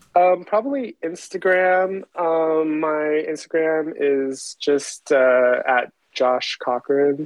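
A man speaks very slowly at a fairly high pitch, with ordinary pitch variation. He keeps his loudness very even and leaves hardly any pauses. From Taiwan. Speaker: illustrator and muralist. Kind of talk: casual interview chat. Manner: halting, many fillers.

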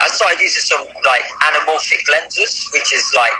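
A man with an English accent talks at a moderate pace against noticeable background noise. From England. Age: 30s. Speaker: film director. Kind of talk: casual chat.

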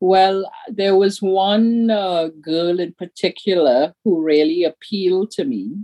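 A woman's very slow speech with hardly any pauses. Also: medium pitch for a woman, ordinary pitch variation. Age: 60s. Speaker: storyteller, actor and activist. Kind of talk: casual interview conversation. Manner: animated, laughs often.

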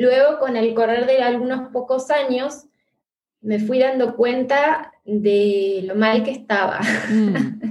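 A woman talks very slowly in a high voice with ordinary pitch variation. Audible room echo surrounds her. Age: 40s. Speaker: therapist. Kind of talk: interview.

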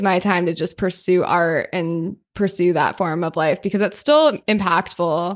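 A woman's medium-pitched voice with a Californian accent. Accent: Californian, valley girl. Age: 20s. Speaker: DJ and law student. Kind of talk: casual chat.

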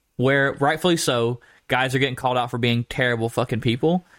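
An unremarkable speaking voice runs at a fairly quick pace with ordinary pitch variation. The sound is dry and close, with no echo, on a very clean recording with a silent background. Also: man. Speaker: podcast co-host. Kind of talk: casual banter podcast. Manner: jokey, playful.

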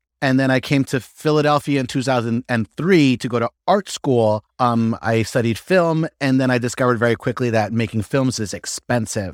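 A man with an American accent and a plain, everyday voice, medium in pitch with ordinary pitch variation, at a moderate pace with hardly any pauses, in a dry, close sound with no echo on a very clean recording with a silent background. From upstate New York. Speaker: stand-up comedian. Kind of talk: casual chat.

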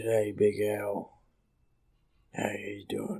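The speaker is a man doing a put-on character voice. He keeps it at a fairly low pitch. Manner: tough, gravelly greeting.

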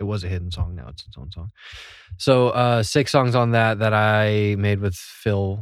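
In a very clean recording with a silent background, a man with an ordinary speaking voice talks at a moderate pace, his pitch fairly low with ordinary variation. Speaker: band member, songwriter. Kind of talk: casual chat.

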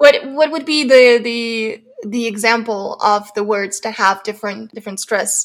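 A woman with an ordinary speaking voice, fairly high in pitch, talks at a fairly slow pace with ordinary pitch variation and hardly any pauses. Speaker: podcast host. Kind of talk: casual interview.

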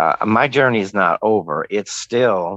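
A man at a very slow pace, dry and close with no echo. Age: 60s. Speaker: interview guest sharing life story. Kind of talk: testimony. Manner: halting.

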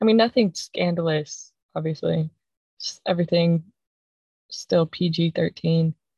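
A woman with a fairly low pitch and a dark, mellow, somewhat breathy tone speaks at a fairly slow pace with fairly even intonation and long, frequent pauses, the sound dry and close with no echo. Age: 20s. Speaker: podcast host, recent graduate and former college athlete. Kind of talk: solo podcast monologue.

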